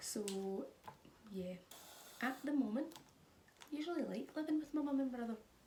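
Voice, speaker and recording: A high-pitched woman talks at a moderate pace with lively intonation. She leaves long, frequent pauses. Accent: Scottish. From Scotland. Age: 20s. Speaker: vlogger. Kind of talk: casual chat.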